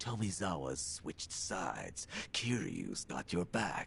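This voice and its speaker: In a put-on character voice, a man talks at a fairly slow pace with a very deep, low pitch and lively intonation over clear background noise. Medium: video game. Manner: gruff, sardonic.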